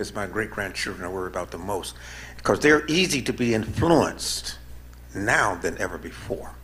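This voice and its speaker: A man's voice carries vocal fry and very wide pitch swings. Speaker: activist, panelist. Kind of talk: panel discussion.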